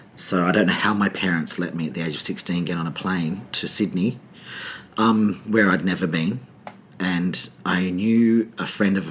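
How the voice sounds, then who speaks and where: With an Australian accent, a man speaks at a moderate pace in a very deep, low pitch with ordinary pitch variation. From Adelaide, Australia. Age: 40s. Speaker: choreographer and director. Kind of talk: casual interview chat.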